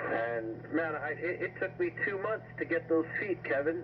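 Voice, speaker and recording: The man's delivery is moderately paced. Noticeable background noise runs behind him. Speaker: ham radio operator. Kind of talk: casual radio conversation. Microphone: two way radio.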